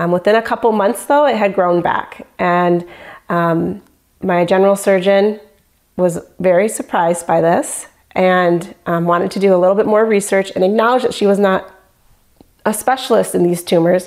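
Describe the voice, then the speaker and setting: A woman with an American accent speaks in an unremarkable speaking voice at a moderate pace. Her pitch is medium and her intonation fairly even. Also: very even loudness. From Michigan. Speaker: patient. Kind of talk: testimony.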